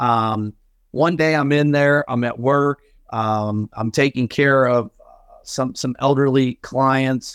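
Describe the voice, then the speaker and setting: A man at a very slow pace, medium in pitch, with fairly even intonation and big swings in loudness, on a very clean recording with a silent background and a dry, close sound with no echo. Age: 40s. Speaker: insurance agency owner. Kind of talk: interview. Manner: hesitant, many fillers.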